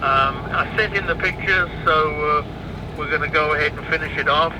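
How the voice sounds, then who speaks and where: Noticeable background noise behind a man's fairly high voice, fairly even in intonation, at a moderate pace. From England. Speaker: marine parts supplier. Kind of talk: business phone call.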